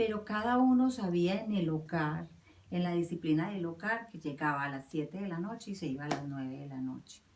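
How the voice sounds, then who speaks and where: A woman speaks at a moderate pace in a very deep, low voice with lively intonation, over noticeable background noise. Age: 50s. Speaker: interviewee recalling her youth. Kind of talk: personal recollection interview. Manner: hesitant, with many fillers.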